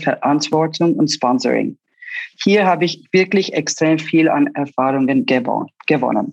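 A woman with a Swiss accent speaks at a fairly slow pace in a very deep, low voice. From Switzerland, Zurich. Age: 30s. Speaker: online shop founder. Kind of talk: interview. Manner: halting.

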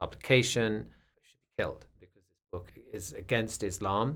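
Vocal fry runs through a voice with a British accent and ordinary pitch variation. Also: man. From UK. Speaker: guest with Middle East experience. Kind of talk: casual chat.

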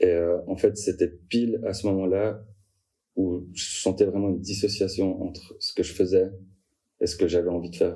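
A man speaks at a moderate pace in a very deep, low voice with a dark, mellow tone, somewhat breathy and monotone in flat intonation, on a very clean recording with a silent background. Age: 20s. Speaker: career changer sharing his story. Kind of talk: personal testimony interview. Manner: hesitant, many fillers.

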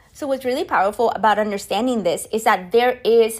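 Recorded very cleanly against a silent background, a woman with a non-native accent talks at a fairly quick pace and fairly high pitch, with ordinary pitch variation. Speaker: podcast host. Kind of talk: solo monologue podcast, casual coaching talk. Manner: conversational, chatty, with fillers.

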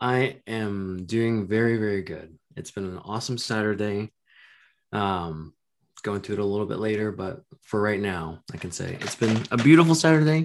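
A man's normal speaking voice, fairly low in pitch, at a moderate pace with lively intonation. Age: 20s. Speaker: podcast guest. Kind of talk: casual chat.

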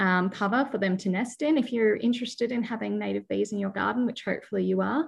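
Over a quiet background, a woman with an Australian accent talks at a fairly quick pace. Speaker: bee researcher. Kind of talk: interview.

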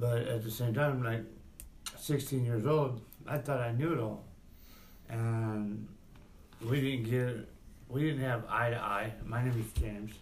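A man speaks at a fairly slow pace in a medium pitch, his intonation fairly even, with long, frequent pauses. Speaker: father in support group. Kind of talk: group discussion. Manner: loud.

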